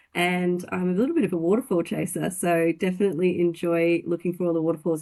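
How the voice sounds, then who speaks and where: Against a quiet background, a woman talks at a fairly quick pace with a slight Australian accent. Her pitch is fairly low and her tone is dark and mellow. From Australia, country Victoria. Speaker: finance industry director. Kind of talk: interview. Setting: podcast.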